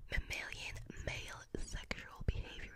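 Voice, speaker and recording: A woman whispers in a soft-spoken way. Loud background noise is present. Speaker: ASMR-style creator. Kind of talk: soft reading aloud of an article. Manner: close soft ASMR whisper, reading aloud. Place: home room. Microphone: studio mic.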